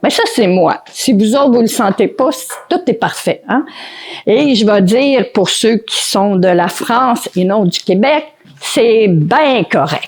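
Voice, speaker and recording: A woman with a Quebec accent, very slow delivery and very wide swings in pitch. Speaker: motivational speaker and author. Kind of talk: conference talk. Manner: spontaneous, improvised.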